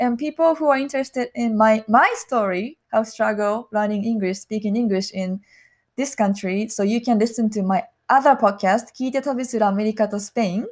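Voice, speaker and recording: A woman with a Japanese accent, fairly high in pitch, fairly quick, with ordinary pitch variation. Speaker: podcast co-host. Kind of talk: casual bilingual chat.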